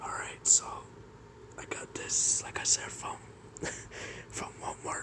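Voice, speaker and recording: Noticeable background noise surrounds a person talking in a whisper. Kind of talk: casual talk to camera. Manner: casual, rambling.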